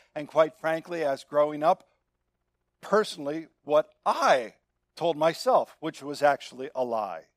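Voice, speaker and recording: A man's animated, fairly high voice at a fairly slow pace, with ordinary pitch variation and a dry, close sound with no echo. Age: 60s. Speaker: pastor. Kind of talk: sermon.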